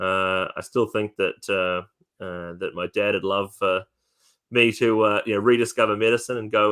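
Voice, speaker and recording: The speech comes in a New Zealand accent at a moderate pace. Intonation stays fairly even. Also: man. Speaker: whisky distillery representative. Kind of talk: interview. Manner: hesitant, many fillers.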